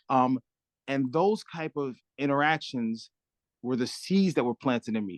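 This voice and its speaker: Slow-paced speech comes from a man with a New York accent. He leaves long, frequent pauses. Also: medium pitch for a man, lively intonation, dry, close sound with no echo. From Brooklyn, New York (Crown Heights). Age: 40s. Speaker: community nonprofit director. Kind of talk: interview.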